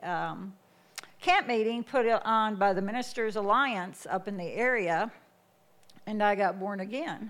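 A woman with a plain, everyday voice speaks with an American accent at a fairly slow pace. Her pitch is medium, with ordinary variation. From US Midwest. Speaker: missionary. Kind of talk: testimony. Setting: church.

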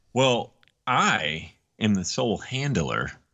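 A man's voice with vocal fry. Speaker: podcast co-host. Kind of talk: casual chat. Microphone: connection cut out.

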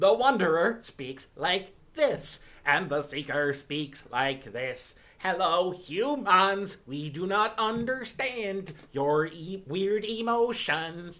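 In a put-on character voice that sounds robotic, the speaker talks at a very slow pace with a middle pitch. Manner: emotionless, mechanical.

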